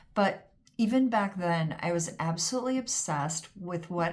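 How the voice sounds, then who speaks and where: A woman speaks at a moderate pace in a fairly low, somewhat breathy voice. Her pitch rises and falls in an ordinary way. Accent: American. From US West Coast, Pasadena, California. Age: 60s. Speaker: home organizer and former photographer. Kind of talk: casual vlog monologue. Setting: home studio at desk.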